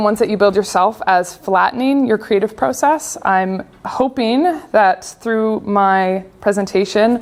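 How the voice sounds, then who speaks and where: At a fairly slow pace, a woman with a Canadian accent speaks. Her pitch is fairly high, with ordinary pitch variation. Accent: Canadian, noticeable to local audience. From Canada, grew up on a farm. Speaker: UX designer and speaker. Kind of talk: conference talk. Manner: casual, with filler words.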